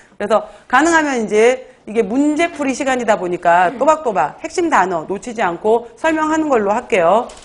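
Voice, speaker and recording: Very wide pitch swings with hardly any pauses. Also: woman, fairly high pitch for a woman. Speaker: exam prep lecturer. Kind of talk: lecture. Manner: fast.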